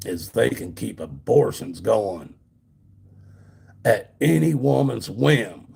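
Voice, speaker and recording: A man speaks at a very slow pace with a very deep, low pitch. His tone is dark and mellow, with vocal fry. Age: 60s. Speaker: livestreamer, former truck driver. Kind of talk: religious political rant on livestream. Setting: solo livestream. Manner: repetitive, halting; animated.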